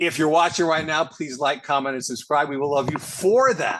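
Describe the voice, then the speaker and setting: There is noticeable background noise in this clip. Over it, a man speaks at a fairly high pitch. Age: 60s. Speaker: classic rock podcast host. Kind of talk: casual chat. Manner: halting.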